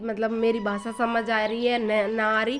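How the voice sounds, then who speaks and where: A woman with a fairly high pitch speaks at a moderate pace while noticeable background noise runs underneath. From eastern Rajasthan, India. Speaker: housewife vlogger. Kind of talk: casual talk to camera.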